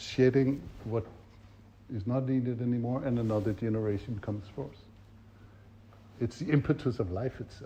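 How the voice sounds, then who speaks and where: At a moderate pace with long, frequent pauses, a man speaks in a dark, mellow, somewhat breathy tone at a medium pitch with ordinary pitch variation. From Denmark. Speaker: facilitation trainer. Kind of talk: workshop teaching.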